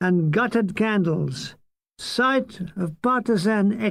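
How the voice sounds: In a natural reading voice, the words are read against a quiet background.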